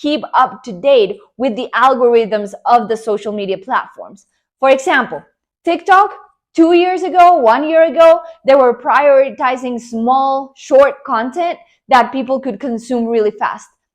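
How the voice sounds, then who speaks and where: Over a quiet background, a woman with a high voice and a Spanish accent talks fairly slowly with lively intonation. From Colombia. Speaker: online business coach. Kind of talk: motivational talk to camera. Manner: animated.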